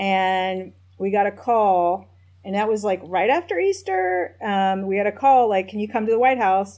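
An ordinary speaking voice from a woman at medium pitch, moving at a moderate pace with fairly even intonation. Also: quiet background. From US South, Nashville, Tennessee. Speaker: tech company policy executive, former government staffer. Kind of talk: interview.

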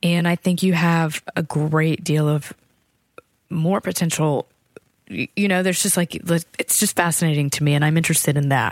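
An ordinary speaking voice: a woman with an American accent, fairly low in pitch, at a moderate pace and with fairly even intonation. Her loudness stays very even, and the sound is dry and close with no echo. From small-town Virginia, US. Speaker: composer. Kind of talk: interview conversation.

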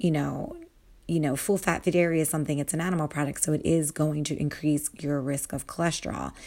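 In a very clean recording with a silent background, a woman speaks with a very deep, low pitch, a dark, mellow tone and ordinary pitch variation. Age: 40s. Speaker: dietitian, health podcast host. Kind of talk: solo health podcast talk. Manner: casual, with fillers.

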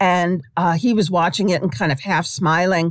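Over a silent background on a very clean recording, a woman with an ordinary speaking voice talks at a moderate pace, medium in pitch with ordinary variation. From New York, Brooklyn. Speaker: sports writer. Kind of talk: interview.

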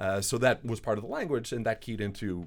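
Recorded very cleanly against a silent background, a man with a medium pitch speaks in an unremarkable speaking voice with ordinary pitch variation. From Canada, Montreal, Quebec. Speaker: composer. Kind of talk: interview.

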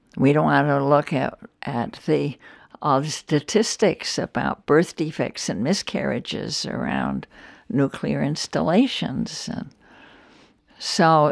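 A woman speaks very slowly with vocal fry. The recording is very clean and dry, close with no echo and a silent background. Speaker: eco-philosopher and Buddhist scholar. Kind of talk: interview. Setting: at home.

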